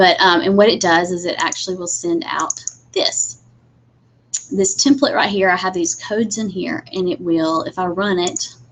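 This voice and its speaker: With very wide pitch swings at a medium pitch, a woman speaks at a moderate pace over noticeable background noise. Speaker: instructional technology trainer for teachers. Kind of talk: webinar tutorial. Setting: live video webinar with screen share. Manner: casual, many fillers.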